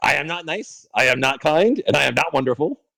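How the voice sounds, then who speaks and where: At a fairly quick pace, a man does a raspy, put-on character voice with a fairly high pitch. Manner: sneering, menacing.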